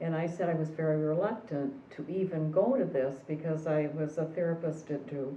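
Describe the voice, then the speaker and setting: Over noticeable background noise and audible room echo, a woman with a very deep, low pitch speaks at a moderate pace with hardly any pauses and ordinary pitch variation. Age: 70s. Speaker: retired therapist. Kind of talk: personal testimony.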